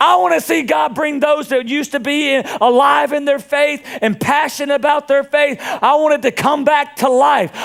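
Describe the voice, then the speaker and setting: A man with a Southern US accent speaks at an extremely high pitch in an animated tone, with ordinary pitch variation. His pace is moderate, his loudness very even, and he hardly pauses at all. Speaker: pastor. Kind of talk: sermon.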